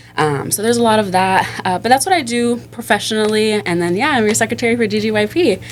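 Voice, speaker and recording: A woman's very fast, animated voice with an American accent, fairly high pitch, lively intonation and hardly any pauses, over noticeable background noise. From Florida (Miami). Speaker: operations director and community group secretary. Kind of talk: casual podcast chat.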